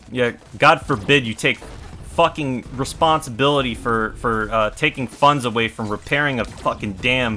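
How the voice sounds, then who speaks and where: A man talks with music playing behind him, his medium pitch rising and falling in an ordinary way. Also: moderate pace. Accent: American. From California. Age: 20s. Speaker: gaming streamer. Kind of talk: casual livestream chat. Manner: animated.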